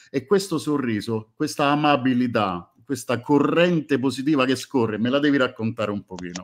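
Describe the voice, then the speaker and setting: Moderate pace with hardly any pauses, lively intonation, and a quiet background. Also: man. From Italy. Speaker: music fan group moderator. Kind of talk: casual chat.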